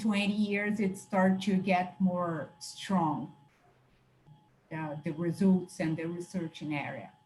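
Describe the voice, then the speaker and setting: A woman with a non-native accent speaks in a dark, mellow, somewhat breathy tone. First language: Portuguese. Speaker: exercise science professor. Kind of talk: academic Q&A discussion. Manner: halting, hesitant.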